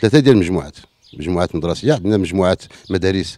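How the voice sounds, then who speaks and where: A man with a dark, mellow tone speaks at a very fast pace with lively intonation against a quiet background. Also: dry sound with no echo. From Morocco, Middle Atlas (Ifrane area); Morocco. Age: 50s. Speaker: local elected official. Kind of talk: interview. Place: garden. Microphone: handheld.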